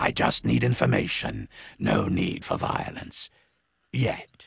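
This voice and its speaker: A put-on character voice from a man, pitched very deep and low, moving at a fairly slow pace. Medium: video game. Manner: gruff, curt.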